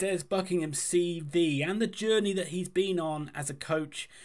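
The surroundings are quiet. A man's voice moves at a moderate pace. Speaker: football fan channel host. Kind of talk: commentary. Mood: enthusiastic, upbeat.

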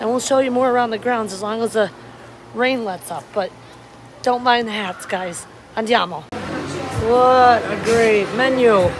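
A woman speaks at a fairly slow pace with ordinary pitch variation and long, frequent pauses. Noticeable background noise runs underneath. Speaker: travel vlogger. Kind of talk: casual vlog chat. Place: street. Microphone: phone near.

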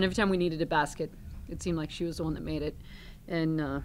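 Vocal fry runs through the voice, with fairly even intonation. Light background noise can be heard. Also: woman. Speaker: head basketball coach. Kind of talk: press conference answer. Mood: pleased, measured. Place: meeting room. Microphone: podium.

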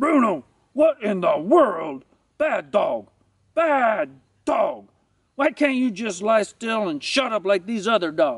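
A man puts on a character voice, pitched high, speaking at a fairly slow pace with long, frequent pauses. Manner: scolding, exasperated.

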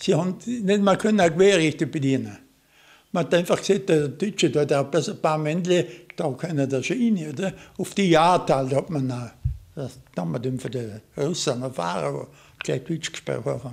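Against a quiet background, a man with a Vorarlberg accent talks at a moderate pace, his fairly high voice carrying lively intonation. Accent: Vorarlberg Alemannic German dialect. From Austria, Vorarlberg. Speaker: war veteran. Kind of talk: interview testimony. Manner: halting. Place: home room. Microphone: studio mic.

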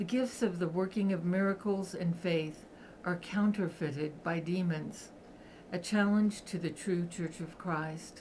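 A woman speaks fairly slowly, somewhat breathy, with fairly even intonation. Light background noise can be heard. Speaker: reader of a book. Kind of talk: reading aloud. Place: home room. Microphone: webcam.

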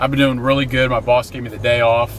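Light background noise beneath a man's dry voice with no echo. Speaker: fitness vlogger. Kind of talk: casual vlog chat. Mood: upbeat, relaxed. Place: car.

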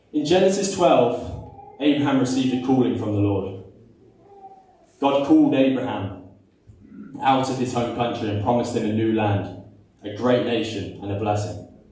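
The speech moves at a moderate pace with long, frequent pauses. Audible room echo surrounds it. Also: man, ordinary pitch variation. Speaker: preacher. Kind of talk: sermon. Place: church. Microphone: camera far.

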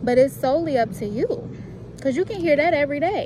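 Noticeable background noise surrounds a woman's voice, which has a dry sound with no echo. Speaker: vlogger. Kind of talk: casual vlog chat. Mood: upbeat, motivational, animated. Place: garden. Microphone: phone near.

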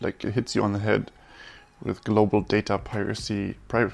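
Delivered at a moderate speed, the speech keeps a flat, monotone intonation throughout. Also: man. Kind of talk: casual coding commentary. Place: home room.

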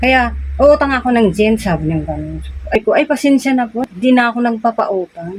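High in pitch, a woman's voice moves along at a fairly quick clip. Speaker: vlogger and sari-sari store owner. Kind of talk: casual vlog storytelling.

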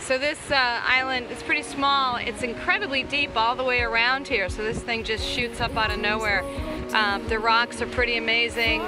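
Clear music sits in the background of this fairly quick speech, heard in a dry sound with no echo. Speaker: sailing vlogger. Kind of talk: casual vlog commentary. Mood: cheerful, enjoying the day. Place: boat. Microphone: phone near.

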